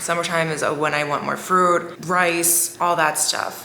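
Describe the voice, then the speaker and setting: A woman speaks with a fairly low pitch. Background noise is noticeable. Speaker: lifestyle vlogger. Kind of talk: casual talking-head vlog. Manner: animated.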